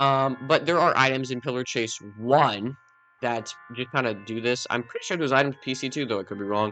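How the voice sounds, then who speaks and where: Music plays in the background as a man talks at a fairly quick pace. His medium pitch shows ordinary variation. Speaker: gaming YouTuber. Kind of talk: casual game review commentary. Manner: casual, filler-heavy; loud.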